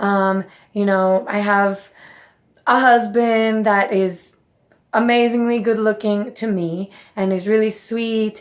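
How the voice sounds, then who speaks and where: On a very clean recording with a silent background, a woman speaks in a fairly high pitch with fairly even intonation. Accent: Spanish. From Mexico. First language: Spanish. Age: 30s. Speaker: nutrition coach and vlogger. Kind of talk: personal reflection vlog.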